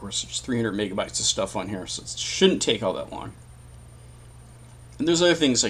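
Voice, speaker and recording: Though his pace is very fast, a man leaves long, frequent pauses. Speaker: tech tutorial youtuber. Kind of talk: screen-recorded tutorial. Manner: casual, thinking aloud. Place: home room.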